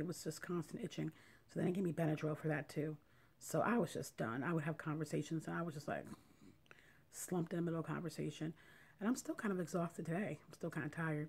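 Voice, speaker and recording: Somewhat breathy, a woman speaks with a very deep, low pitch and fairly even intonation. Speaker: vlogger sharing surgery recovery. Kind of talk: casual video diary. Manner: whispery, soft; halting, slow.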